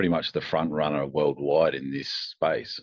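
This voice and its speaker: A man's very deep, low voice with an Australian accent. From Australia (Adelaide). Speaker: company founder and engineer. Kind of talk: interview.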